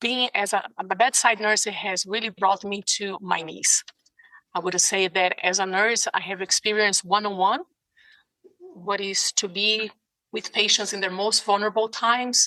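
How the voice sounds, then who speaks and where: In a Brazilian Portuguese accent, a woman speaks with monotone, flat intonation in a dry, close sound with no echo. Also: medium pitch for a woman, moderate pace. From Brazil, São Paulo. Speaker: ICU nurse and case manager. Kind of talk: interview. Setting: video call. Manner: passionate.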